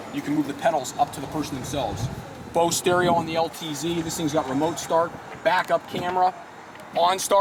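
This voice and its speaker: Noticeable background noise sits behind this recording. A man talks at a very fast pace and a high pitch in an animated tone. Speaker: car salesman presenting a truck. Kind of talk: product walkaround sales pitch. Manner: animated, with many repetitions.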